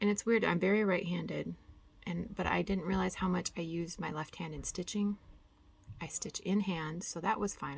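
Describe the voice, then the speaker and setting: A soft-spoken woman with vocal fry and fairly even intonation, at a moderate pace. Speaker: cross-stitch vlogger. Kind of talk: casual chat.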